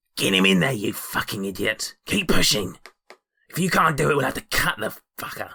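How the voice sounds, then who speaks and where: At a moderate pace, a man delivers a raspy, put-on character voice at medium pitch. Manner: harsh, angry, crude.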